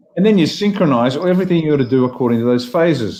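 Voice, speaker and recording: A man's dark, mellow tone with an Australian accent and ordinary pitch variation. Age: 60s. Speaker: former army officer and political leader. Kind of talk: panel discussion on a live stream. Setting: live stream panel.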